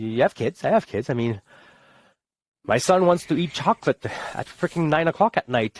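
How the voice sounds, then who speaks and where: A man with a Quebec accent speaks with very wide pitch swings. The recording is very clean, dry and close, with no echo and a silent background. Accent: Québécois French-accented English. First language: French. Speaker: army veteran. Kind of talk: casual chat.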